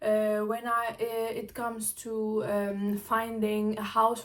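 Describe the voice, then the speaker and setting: Speaking with a non-native accent, a woman's voice sits fairly high. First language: not English or German. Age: 20s. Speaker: international student, vlogger. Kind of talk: casual chat. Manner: halting, many fillers and self-corrections.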